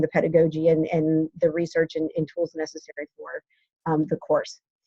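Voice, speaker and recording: A woman with an American accent speaks at a moderate pace in a fairly low, somewhat breathy voice. The sound is dry and close, with no echo. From Ohio. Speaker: professor. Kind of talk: lecture. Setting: office at school. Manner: hesitant, many fillers.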